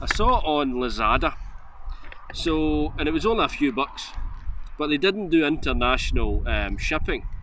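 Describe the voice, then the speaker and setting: A man talks at a moderate pace, his sound dry with no echo, while light noise sits in the background. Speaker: motovlogger. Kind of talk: casual gear review chat. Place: open country. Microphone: phone near.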